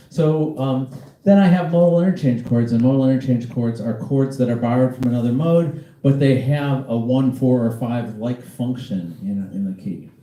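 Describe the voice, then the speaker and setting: A man keeps a moderate pace as audible room echo and noticeable background noise accompany his speech. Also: medium pitch for a man, ordinary pitch variation. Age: 60s. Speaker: jazz pianist teaching a masterclass. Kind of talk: lecture.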